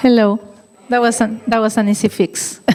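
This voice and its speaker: In a Chilean accent, the voice holds a monotone, flat intonation. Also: woman. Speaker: violin teacher. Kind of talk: gala speech. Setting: stage with audience.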